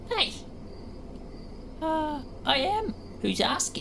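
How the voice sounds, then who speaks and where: A put-on character voice. Loud background noise runs underneath it. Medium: actual play. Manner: cagey, wheedling.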